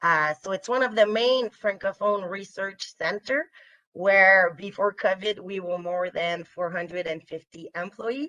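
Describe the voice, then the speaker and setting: Speaking with a French Canadian accent, a woman uses a bright, sharp tone, ordinary pitch variation and a fairly slow pace, the sound dry and close with no echo over a quiet background. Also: medium pitch for a woman. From Quebec, Canada. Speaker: fisheries scientist. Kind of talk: webinar presentation. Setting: remote video webinar. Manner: hesitant, many fillers.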